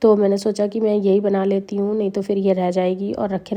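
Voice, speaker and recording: Her dark, mellow tone sits at a medium pitch for a woman. She speaks at a fairly slow pace in a monotone, flat intonation. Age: 30s. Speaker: vlogger and mother of twins. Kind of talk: vlog voiceover narration.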